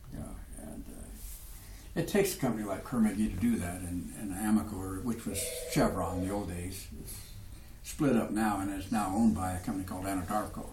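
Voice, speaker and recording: There is audible room echo around a man's fairly low voice. He leaves long, frequent pauses. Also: ordinary pitch variation, fairly quick pace, big swings in loudness. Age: 70s. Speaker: oil and gas businessman. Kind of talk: casual interview.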